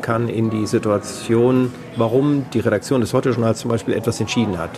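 Over music in the background, a man speaks at a medium pitch and a fairly quick pace. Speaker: radio editor-in-chief. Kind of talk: interview. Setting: hotel lounge.

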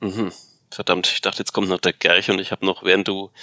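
A man speaks in a very deep, low pitch with a bright, sharp tone. His intonation is monotone and flat, and the sound is dry and close with no echo. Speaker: football podcast co-host. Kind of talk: casual chat.

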